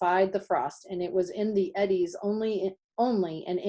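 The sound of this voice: Someone reads aloud in an unforced voice, with little to hear behind it.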